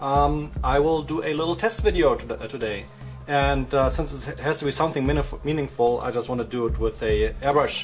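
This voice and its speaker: Over music in the background, a man with a German accent speaks at a moderate pace. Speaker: miniature painter. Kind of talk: tutorial talk to camera.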